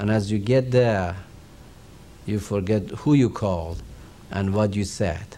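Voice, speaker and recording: With a Persian accent, a man speaks in a dark, mellow tone amid audible room echo. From Iran. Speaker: religious teacher. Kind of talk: lecture.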